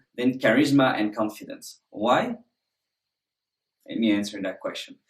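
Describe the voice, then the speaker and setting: Speaking with a French accent, a man keeps a moderate pace and lively intonation. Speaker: presentation skills instructor. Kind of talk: course introduction.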